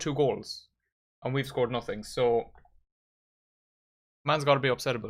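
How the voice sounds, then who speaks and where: With an Irish accent, a man talks at a fairly quick pace. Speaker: football fan streamer. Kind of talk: live watchalong commentary. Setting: live stream. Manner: casual, chatty.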